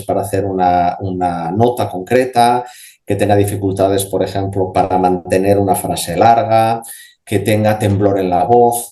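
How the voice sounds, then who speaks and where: Speaking at a moderate pace, the voice keeps fairly even intonation and a dark, mellow tone. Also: man. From Spain, Asturias. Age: 50s. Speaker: speech therapist and voice specialist. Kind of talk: radio interview answer. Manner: conversational, explanatory, with hesitations.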